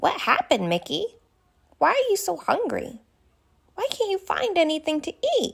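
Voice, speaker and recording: A female-sounding, squeaky put-on character voice at an extremely high pitch, at a moderate pace with long, frequent pauses. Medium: read story. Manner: warm, friendly.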